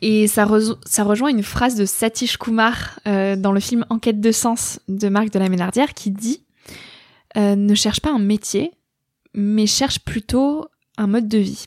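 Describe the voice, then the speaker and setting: This woman has a fairly high pitch with ordinary variation and speaks at a fairly slow pace. Long, frequent pauses break up her speech in a very clean recording with a silent background. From rural France. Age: 20s. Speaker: podcaster and author. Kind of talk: interview.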